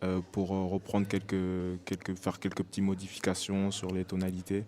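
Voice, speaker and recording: This man's voice is fairly low in pitch, with a dark, mellow tone. He speaks in a flat monotone on a very clean recording with a silent background. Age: 20s. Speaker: professional basketball player. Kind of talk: podcast interview. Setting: live podcast with audience in a bar. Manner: hesitant, many fillers.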